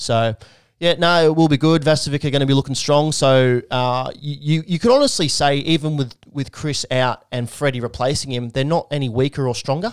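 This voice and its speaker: With an Australian accent, a man talks at a fairly quick pace in a fairly high pitch, his pitch varying in an ordinary way. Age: 20s. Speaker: podcast host. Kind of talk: casual chat.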